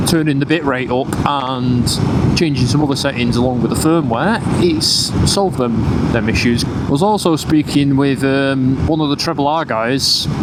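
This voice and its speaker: A man with a northern English accent speaks in a fairly high pitch at very even loudness, with hardly any pauses. Noticeable background noise and audible room echo are present. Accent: northern English twang. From northern England. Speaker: motorcycle vlogger. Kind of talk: casual vlog commentary while riding. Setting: on a motorcycle, outdoors. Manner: casual, with many fillers.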